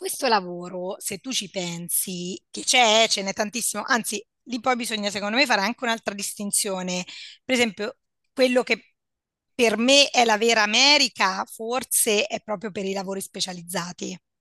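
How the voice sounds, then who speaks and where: Against a quiet background, a woman with a bright, sharp tone speaks at a moderate pace with ordinary pitch variation, in dry, close sound with no echo. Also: fairly high pitch for a woman. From central Italy, Perugia. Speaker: psychologist. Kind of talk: casual chat.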